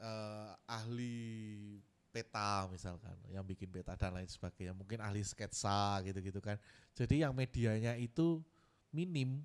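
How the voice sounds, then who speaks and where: A man talks at a fairly slow pace with a strong Javanese accent. His pitch varies in an ordinary way. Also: fairly low pitch for a man. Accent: strong Javanese (medok). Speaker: art curator. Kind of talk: workshop lecture. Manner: casual, conversational.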